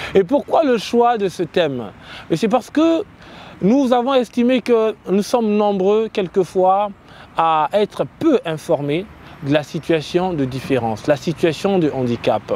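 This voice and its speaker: Here a man speaks at a very slow pace in a high pitch. His pitch swings very widely. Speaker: web show host. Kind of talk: interview. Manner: hesitant, many fillers.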